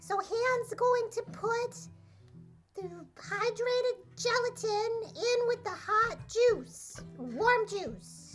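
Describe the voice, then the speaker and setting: A cartoonish character voice at an extremely high pitch speaks very slowly over clear background music. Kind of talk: cooking demonstration. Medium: puppet.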